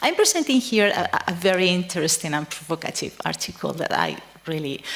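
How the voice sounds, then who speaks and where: A woman talks at a moderate speed. Behind her, background noise is noticeable. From Spain. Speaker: psychiatrist and researcher. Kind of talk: conference talk. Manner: halting, frequent fillers.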